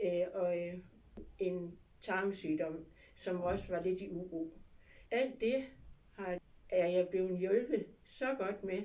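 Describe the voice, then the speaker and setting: Very slow and broken by long, frequent pauses, a woman's voice has a dark, mellow tone, a medium pitch and ordinary pitch variation. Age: 70s. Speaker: patient giving testimonial. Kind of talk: testimony. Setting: clinic. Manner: halting with fillers.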